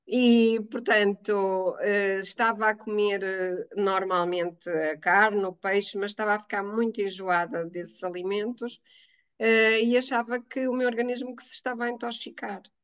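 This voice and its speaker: Fairly slow speech from a woman, medium in pitch and fairly even in intonation. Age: 60s. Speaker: teacher giving a testimonial. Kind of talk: testimony interview. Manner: hesitant, many fillers.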